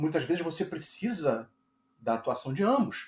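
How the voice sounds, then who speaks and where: The speaker is a man. His intonation is lively. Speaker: YouTuber on narcissistic abuse recovery. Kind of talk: monologue to camera. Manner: halting, with repetitions.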